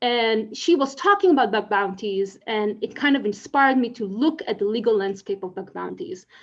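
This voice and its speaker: A woman speaks with an Israeli accent at a moderate pace. Her fairly high voice has lively intonation. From Israel, Tel Aviv. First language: Hebrew. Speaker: legal scholar, conference speaker. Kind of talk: conference talk.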